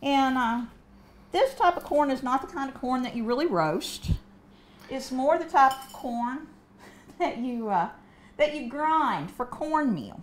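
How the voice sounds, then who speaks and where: In a northern Kentucky accent, a woman speaks at a high pitch and a fairly slow pace, with lively intonation and long, frequent pauses. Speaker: cooking show host. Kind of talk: cooking demonstration.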